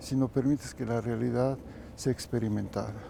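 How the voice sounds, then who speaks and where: A man with a Mexican accent. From Mexico. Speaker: kundalini yoga teacher. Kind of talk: interview.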